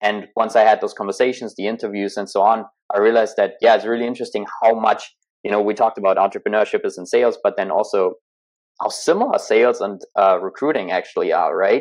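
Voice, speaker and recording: A man with a German accent at a very fast pace. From Germany. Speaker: entrepreneur, former tech sales rep. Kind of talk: podcast interview.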